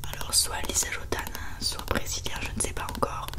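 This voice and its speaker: A woman whispers at a fairly quick pace. Noticeable noise sits in the background. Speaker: ASMR creator. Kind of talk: ASMR product show-and-tell. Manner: whispered.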